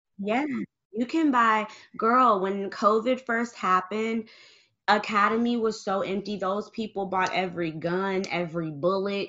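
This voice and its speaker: At a medium pitch with ordinary pitch variation, a woman speaks in an ordinary speaking voice. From US, Michigan. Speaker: gun owner and advocate. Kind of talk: casual chat.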